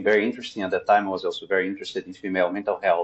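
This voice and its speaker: A man with a Portuguese accent. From Brazil. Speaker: psychotherapist. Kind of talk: interview. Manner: halting, frequent fillers.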